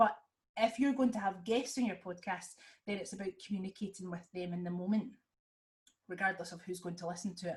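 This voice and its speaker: Somewhat breathy speech in a Scottish accent, at a fairly quick pace with ordinary pitch variation. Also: woman. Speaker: podcaster and dance teacher. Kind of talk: webinar presentation. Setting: video call. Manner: fast; hesitant fillers, animated.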